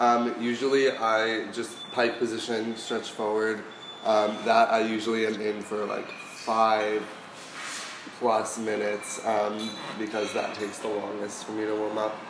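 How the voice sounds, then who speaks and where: A man's fairly low voice at a fairly slow pace, flat and monotone, with noticeable background noise and audible room echo. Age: 18. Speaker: ballet dancer. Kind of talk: casual chat. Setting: studio.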